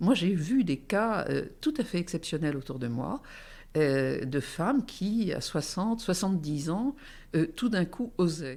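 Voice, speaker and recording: The very slow speech comes through on a very clean recording with a silent background. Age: 70s. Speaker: entrepreneur and forum founder. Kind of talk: interview. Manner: hesitant, many fillers.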